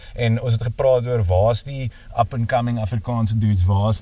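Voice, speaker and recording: The man's tone is dark and mellow, and somewhat breathy. His intonation stays fairly even. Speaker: podcast interviewer. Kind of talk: casual interview.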